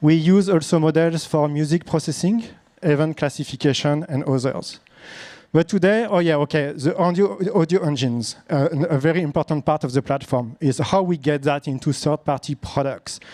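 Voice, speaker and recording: In a strong French accent, a man with a dark, mellow tone and fairly high pitch speaks at a moderate pace with very even loudness and ordinary pitch variation, the sound dry and close with no echo. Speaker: startup founder and CEO. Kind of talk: pitch presentation. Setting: stage with audience. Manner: halting.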